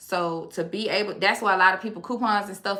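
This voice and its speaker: Amid audible room echo, a woman with a Louisiana accent talks in an animated tone at a fairly quick pace, her medium pitch showing ordinary variation. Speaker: online educator on consumer law. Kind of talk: live stream Q&A. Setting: live stream.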